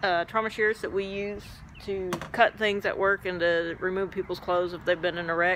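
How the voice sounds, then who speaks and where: A woman at a fairly slow pace, dry sound with no echo, light background noise. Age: 40s. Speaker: flight nurse and cancer patient. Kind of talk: personal vlog; casual vlog chat. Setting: at work station. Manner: hesitant, many fillers. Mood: calm, matter-of-fact. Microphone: phone near.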